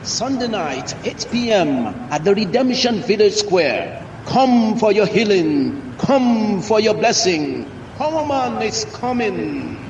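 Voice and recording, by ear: A put-on character voice at a slow pace with few pauses and big pitch swings, over clear background noise. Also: man, high pitch for a man.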